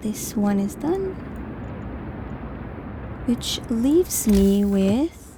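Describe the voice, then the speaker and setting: A woman with a non-native accent talks in a calm, relaxed tone at a very slow pace, with long, frequent pauses and a medium pitch with ordinary variation. Noticeable background noise runs beneath her voice. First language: not English. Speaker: gaming YouTuber. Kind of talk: calm gaming commentary. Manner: calm, relaxed, soft-spoken.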